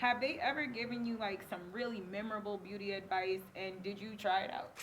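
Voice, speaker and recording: Noticeable background noise and audible room echo surround a woman speaking at medium pitch. She talks fairly quickly with ordinary pitch variation. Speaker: talk show host. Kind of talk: casual interview.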